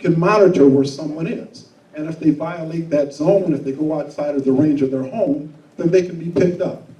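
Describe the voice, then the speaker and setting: A man speaks at a fairly quick pace with a fairly high pitch for a man. Room echo is audible and background noise is noticeable. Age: 60s. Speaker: prosecutor candidate. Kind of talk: candidate forum answer. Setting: stage with live audience. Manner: blunt, straightforward.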